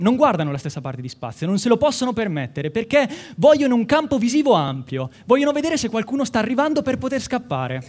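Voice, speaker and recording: Speaking very fast, a man with an extremely high voice makes very wide pitch swings. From Umbria, Italy (Città di Castello, Perugia). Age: 20s. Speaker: medical student, science communication contestant. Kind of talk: timed science talk for a competition. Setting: stage with audience. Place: hall.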